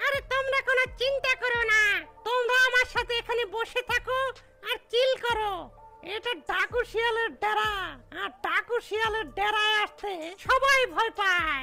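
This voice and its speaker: Clear music plays behind a cartoonish character voice with extremely high pitch, moving at a fairly slow pace. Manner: swaggering.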